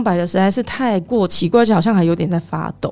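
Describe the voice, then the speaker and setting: With lively intonation and medium pitch, a woman speaks at a fairly quick pace over noticeable background noise. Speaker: tour leader for Japanese groups. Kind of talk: casual chat.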